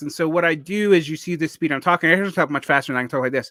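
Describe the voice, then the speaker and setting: Bright and sharp in tone with ordinary pitch variation, the voice is captured on a very clean recording with a silent background. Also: man. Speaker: teacher. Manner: fast talker.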